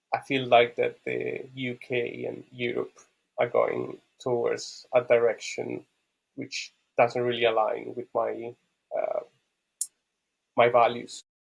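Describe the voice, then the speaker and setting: A man with an Italian accent speaks at a very slow pace, his loudness swinging widely and his speech broken by long, frequent pauses. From Italy (Rome). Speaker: podcast guest, Bitcoin enthusiast. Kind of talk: interview conversation. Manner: hesitant, many fillers and repeats.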